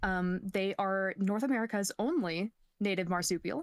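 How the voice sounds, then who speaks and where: The recording is very clean, with a silent background and a dry, close sound with no echo. The speech moves at a moderate pace. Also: woman. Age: 20s. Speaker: Twitch streamer. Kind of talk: casual chat. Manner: animated.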